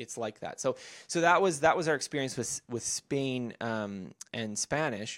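A man with an unremarkable speaking voice talks at medium pitch with lively intonation. The sound is dry and close with no echo, and the recording is very clean over a silent background. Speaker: author and learning blogger. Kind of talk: casual interview chat.

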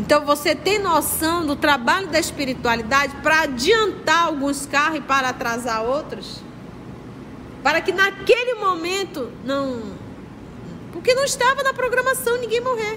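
The speaker's raised, projected voice moves fairly slowly with very wide pitch swings. Noticeable background noise and audible room echo fill the recording. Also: woman, extremely high pitch for a woman. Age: 50s. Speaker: spiritist study leader. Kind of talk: religious study lecture. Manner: conversational, addresses audience directly.

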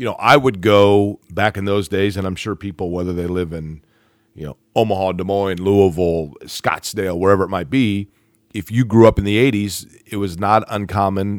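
A man with a normal speaking voice talks at a fairly low pitch and a moderate pace, his intonation fairly even. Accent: American. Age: 40s. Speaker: sports broadcaster. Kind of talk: casual chat.

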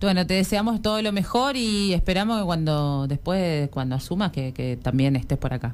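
Her pitch runs fairly low for a woman. Her voice makes very wide pitch swings. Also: moderate pace. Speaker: radio host. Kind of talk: radio interview.

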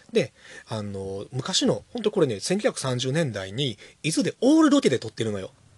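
Against a quiet background, a man speaks at a moderate pace in a fairly high, somewhat breathy voice with very wide pitch swings and big swings in loudness, recorded dry and close with no echo. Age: 30s. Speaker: podcast host, bookshop owner. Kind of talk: casual chat.

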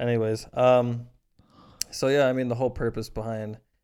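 Dark and mellow in tone, this man's voice comes with an American accent. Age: 20s. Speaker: podcast co-host. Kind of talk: casual chat.

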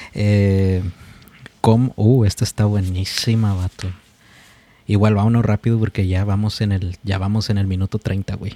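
Speaking fairly slowly with long, frequent pauses, a man uses a fairly low, dark, mellow voice with monotone, flat intonation. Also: dry, close sound with no echo. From Mexico. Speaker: podcast host. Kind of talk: casual chat.

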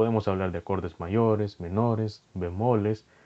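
Speaking at a fairly slow pace, a man has a fairly low pitch, a dark, mellow tone and fairly even intonation. The sound is dry and close with no echo. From El Salvador. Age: 20s. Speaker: podcast host. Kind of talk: solo podcast monologue.

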